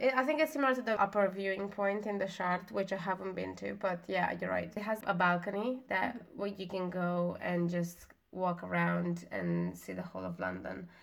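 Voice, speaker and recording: Speaking at a moderate pace with hardly any pauses, a woman talks in a non-native accent. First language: not English. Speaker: podcast co-host. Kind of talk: casual chat.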